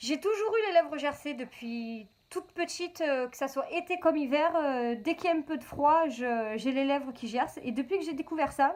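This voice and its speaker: Over noticeable background noise, the speaker uses an animated tone and lively intonation at a moderate pace, with a Marseille accent. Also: woman, high pitch for a woman. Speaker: beauty vlogger. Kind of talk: product review vlog. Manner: chatty, animated.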